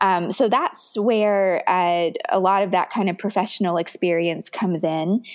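At a fairly slow pace and with hardly any pauses, a woman speaks at a medium pitch with fairly even intonation. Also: very even loudness. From US South, Richmond, Virginia. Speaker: business coach. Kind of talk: interview.

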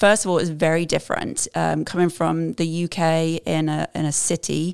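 A woman speaks with an American accent at a moderate pace. The sound is dry and close with no echo, in a very clean recording with a silent background. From southern England. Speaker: amateur marathon runner. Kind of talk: podcast interview. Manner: uses many fillers like um and uh.

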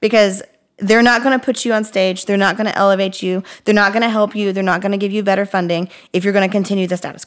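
Very fast and completely flat in intonation, a woman speaks at a medium pitch. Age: 30s. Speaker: podcast co-host, former library worker. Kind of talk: casual chat. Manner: fast, filler-heavy.

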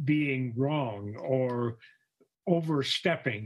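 A man's very slow delivery with ordinary pitch variation. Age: 80s+. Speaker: retired educator and artist. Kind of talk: casual chat. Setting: at home. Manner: halting.

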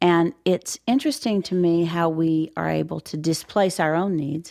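On a very clean recording with a silent background, a woman with an American accent has an unremarkable speaking voice, fairly low in pitch with ordinary pitch variation. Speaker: podcast co-host. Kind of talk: interview conversation.

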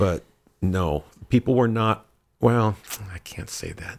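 A man speaks with vocal fry and ordinary pitch variation. The recording is very clean, with a silent background. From Michigan, US Midwest. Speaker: leather community titleholder. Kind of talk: casual chat. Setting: home dungeon space.

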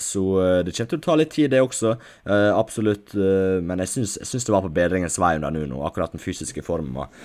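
A very deep, low male voice with very wide pitch swings at a fairly quick pace, in a very clean recording with a silent background. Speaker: football podcast co-host. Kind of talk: casual chat.

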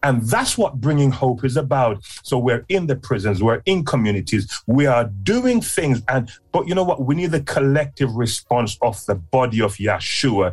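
Music plays behind a man of medium pitch who speaks at a moderate pace with lively intonation. His loudness stays very even and he hardly pauses. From Jamaica, moved to UK as a child. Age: 60s. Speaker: community leader, founder of prison outreach charity. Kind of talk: interview, personal testimony.

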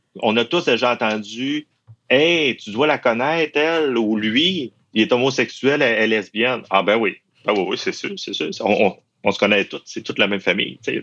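A man talks with a Saguenay–Lac-Saint-Jean accent. His pitch is medium and his intonation lively. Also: moderate pace. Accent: Saguenay-Lac-Saint-Jean Quebec French. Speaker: university employee. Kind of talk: interview testimony. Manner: halting, many repetitions.

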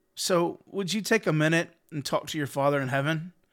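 On a very clean recording with a silent background, a man with a normal speaking voice and a fairly high pitch speaks at a moderate pace with ordinary pitch variation. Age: 30s. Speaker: pastor. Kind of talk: devotional podcast talk.

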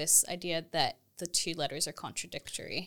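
A woman with a Texas accent talks at a very fast pace in a bright, sharp tone. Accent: Texas-American. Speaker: theology lecturer. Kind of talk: casual academic conversation.

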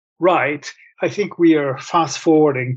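At a fairly slow pace, a man speaks in a somewhat breathy voice with a fairly high pitch and ordinary pitch variation. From Italy, Rome. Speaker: author and professor. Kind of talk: interview.

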